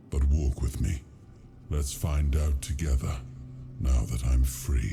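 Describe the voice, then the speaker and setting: A man's put-on character voice, very deep and resonant, with a solemn tone, fairly even intonation and a fairly slow pace over clear background noise. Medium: video game. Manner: solemn, grave storytelling; suddenly loud at dramatic moments.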